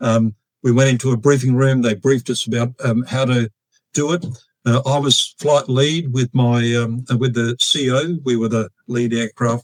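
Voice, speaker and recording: A man with an Australian accent at a moderate pace, fairly even in intonation, with a dry, close sound and no echo. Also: medium pitch for a man. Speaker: retired air force officer and fighter pilot. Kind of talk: interview storytelling. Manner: hesitant, many fillers.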